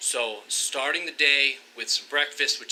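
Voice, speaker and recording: Background noise is noticeable while the man talks at a moderate pace. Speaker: fitness vlogger. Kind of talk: vlog narration. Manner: loud; energetic.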